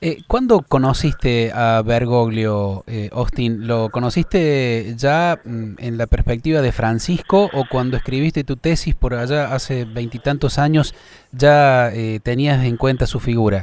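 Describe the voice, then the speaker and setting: A man of medium pitch speaks at a fairly slow pace with hardly any pauses. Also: ordinary pitch variation. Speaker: radio host. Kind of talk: interview.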